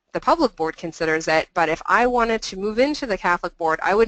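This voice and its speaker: This woman speaks at a very fast pace, and the sound is dry and close with no echo. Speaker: employment adviser. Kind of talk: webinar presentation.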